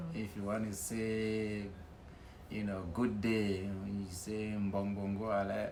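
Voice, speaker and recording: A man's fairly low, monotone, flat voice at a very slow pace, with audible room echo and noticeable background noise. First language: Nwen. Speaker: interviewee. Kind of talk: casual interview.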